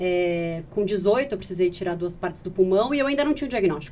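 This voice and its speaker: The woman's voice has a medium pitch and ordinary pitch variation. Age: 30s. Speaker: patient advocate, founder of a patient organization. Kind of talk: podcast interview. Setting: podcast recording. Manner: fast.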